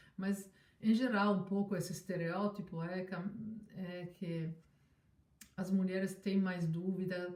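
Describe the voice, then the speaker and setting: The delivery is fairly slow and fairly even in intonation, with a somewhat breathy quality. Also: woman. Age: 60s. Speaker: scientist. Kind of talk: interview. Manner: halting.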